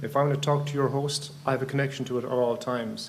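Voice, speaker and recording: A man's fairly high voice with fairly even intonation, audible room echo and noticeable background noise. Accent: Irish. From Ireland. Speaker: amateur radio conference speaker. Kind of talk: technical presentation. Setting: conference room with microphone. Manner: halting, many fillers and restarts.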